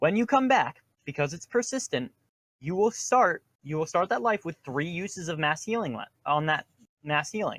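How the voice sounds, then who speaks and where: A man speaks in a high voice at a moderate pace, with very wide pitch swings. The sound is dry and close, with no echo. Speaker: LARP game expert. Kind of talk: livestream Q&A talk. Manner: stutters; rambling, hesitant with many ums.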